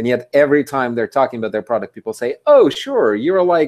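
A man with lively intonation in a dry, close sound with no echo. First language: not English. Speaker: podcast host. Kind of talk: interview. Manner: halting.

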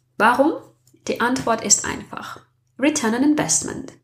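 Somewhat breathy and fairly slow, a woman speaks with a non-native accent. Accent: foreign accent in German. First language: not German (speaking German). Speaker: podcast host. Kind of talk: personal monologue.

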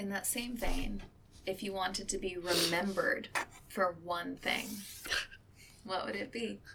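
Amid noticeable background noise, a woman of medium pitch talks with long, frequent pauses. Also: ordinary pitch variation, fairly slow pace. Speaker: oral history interviewer. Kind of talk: oral history interview.

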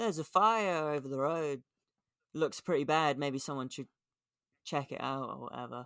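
On a very clean recording with a silent background, a man with an English accent talks at a moderate pace. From England. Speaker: skateboarding podcast co-host. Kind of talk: casual chat.

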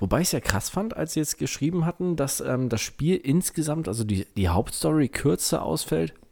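With a dark, mellow tone and lively intonation, a man speaks at a moderate pace on a very clean recording with a silent background. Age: 30s. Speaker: gaming podcast co-host. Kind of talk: casual chat.

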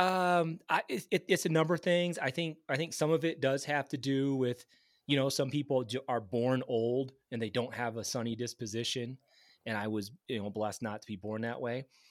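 Recorded very cleanly against a silent background, a man speaks in a Midwestern American accent at medium pitch and a moderate pace, with ordinary pitch variation. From Michigan (Grand Rapids). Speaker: geophysicist. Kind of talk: casual interview.

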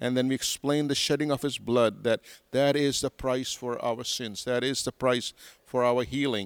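With an American accent, a man talks in a monotone, flat intonation at medium pitch and a moderate pace, recorded dry and close with no echo. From Pakistan, Karachi. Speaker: pastor, church leader. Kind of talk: interview. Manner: articulate.

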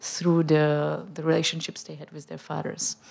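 A woman talks with a Czech accent. Her pace is moderate. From Czech Republic, Prague. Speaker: opera director. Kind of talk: panel discussion.

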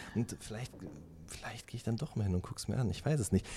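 Very wide pitch swings run through a man's somewhat breathy speech. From Ruhr area, Germany. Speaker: music journalist. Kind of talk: interview.

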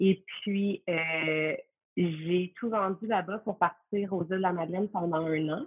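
Her voice sits at a medium pitch and rises and falls in an ordinary way. This is an ordinary speaking voice from a woman. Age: 30s. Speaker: stay-at-home mother, former yoga teacher. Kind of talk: casual interview.

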